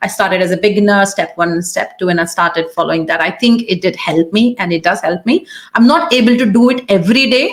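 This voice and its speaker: A woman with an Indian accent talks fairly quickly at a medium pitch, with lively intonation and hardly any pauses, over noticeable background noise. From India, small city. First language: Hindi. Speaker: YouTuber, immigrant interviewee. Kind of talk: interview.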